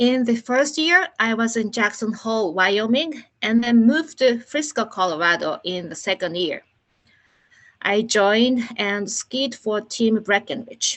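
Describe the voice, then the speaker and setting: A woman speaks in a Japanese accent at a fairly high pitch. Her intonation is lively. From Japan, Nagano. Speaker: Olympic organizing committee staff. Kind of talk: presentation. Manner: halting.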